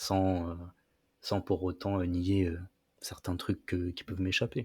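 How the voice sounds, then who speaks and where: A man's very deep, low voice, somewhat breathy, in a flat monotone at a very slow pace, on a very clean recording with a silent background. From France. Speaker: podcast guest. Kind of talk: casual chat. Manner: hesitant, many fillers.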